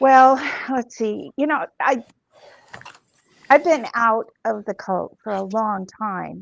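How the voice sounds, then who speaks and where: Her pitch fairly high with ordinary variation, a woman speaks at a very slow pace. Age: 60s. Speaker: former cult member, online show creator. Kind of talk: casual chat. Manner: halting.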